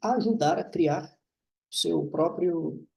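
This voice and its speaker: Pitched high for a man, his voice carries lively intonation. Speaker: university professor. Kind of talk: lecture.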